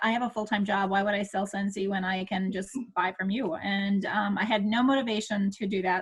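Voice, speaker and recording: This woman has an American accent and a fairly high pitch. She talks at a moderate pace. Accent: Minnesota accent, per others. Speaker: direct sales consultant. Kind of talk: casual group video chat introduction. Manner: hesitant with many fillers.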